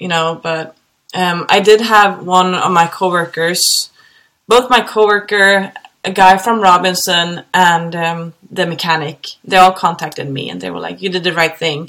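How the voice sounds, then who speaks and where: A woman with a Swedish accent speaks at a moderate pace and fairly low pitch in a bright, sharp tone, her intonation fairly even but her loudness swinging widely. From Sweden, Gothenburg. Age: 30s. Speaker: helicopter pilot. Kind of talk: casual chat.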